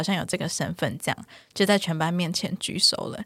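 A woman talks at a very fast pace with ordinary pitch variation. The recording is very clean with a silent background and a dry, close sound with no echo. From Taiwan, Taichung. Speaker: psychologist. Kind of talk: interview.

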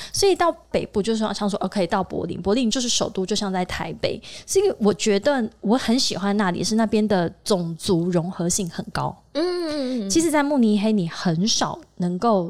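At a moderate pace and medium pitch, a woman speaks with lively intonation and hardly any pauses. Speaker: exhibition industry PR and podcaster. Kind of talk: casual chat. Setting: office meeting room. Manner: animated.

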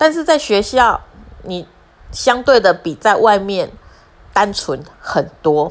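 A woman with a Taiwanese accent speaks at a fairly high pitch with very wide pitch swings. Her pace is very slow, with long, frequent pauses. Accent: Taiwanese Mandarin. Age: 40s. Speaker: podcaster. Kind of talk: personal monologue.

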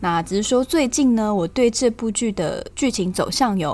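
A woman with a slight southern Taiwanese accent and lively intonation. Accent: slight southern Taiwanese accent in Mandarin. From Taiwan, Tainan (Yongkang). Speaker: podcast host, film commentator. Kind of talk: casual podcast talk and film review.

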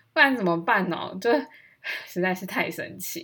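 A woman speaks at a moderate pace and medium pitch, her bright, sharp tone carrying lively intonation. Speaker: podcast host. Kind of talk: casual monologue. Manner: animated.

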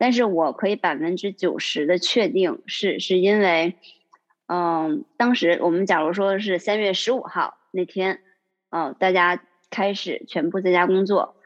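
The speaker has a plain, everyday voice. The pace is fairly slow, and the pitch varies in an ordinary way. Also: woman, medium pitch for a woman. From Northeast China, Liaoning. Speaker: accountant. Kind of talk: casual interview chat. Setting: remote call.

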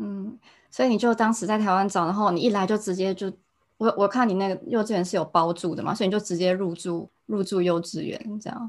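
Speaking at a fairly quick pace, a woman uses a plain, everyday voice of medium pitch with ordinary pitch variation. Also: very clean recording, silent background. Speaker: podcast host. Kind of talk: casual interview. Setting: Tokyo.

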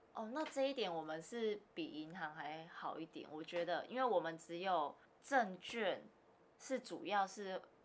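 A woman speaks at a fairly slow pace in a medium pitch. Her pitch swings very widely. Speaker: securities broker. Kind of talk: casual interview. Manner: laughs often.

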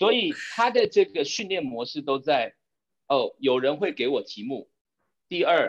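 With long, frequent pauses, a man speaks at a fairly slow pace in a dry, close sound with no echo. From Taiwan. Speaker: corporate strategy executive. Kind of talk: interview.

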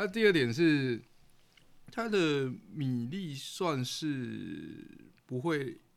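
A man with a fairly high pitch speaks at a very slow pace. He leaves long, frequent pauses. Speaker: podcast co-host. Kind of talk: casual chat while eating.

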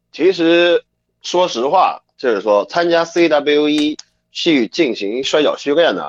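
A fairly high-pitched man at a very slow pace, in a dry, close sound with no echo. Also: lively intonation. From China. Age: 20s. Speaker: professional wrestler. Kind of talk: interview.

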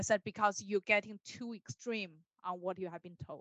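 A woman speaks at a fairly quick pace with a Chinese accent, her bright, sharp tone showing ordinary pitch variation in a dry, close sound with no echo. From China, Beijing. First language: Mandarin Chinese. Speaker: dog trainer. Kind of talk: interview.

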